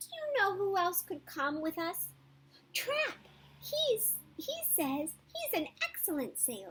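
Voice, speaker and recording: In a put-on character voice, a woman squeaks at an extremely high pitch and a fairly slow pace. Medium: read story. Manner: energetic.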